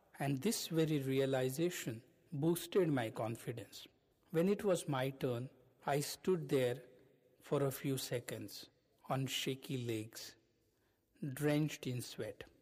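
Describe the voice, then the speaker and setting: At a very slow pace with long, frequent pauses, a somewhat breathy man speaks with a fairly high pitch and ordinary pitch variation. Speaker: podcast host, self-help speaker. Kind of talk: scripted narration.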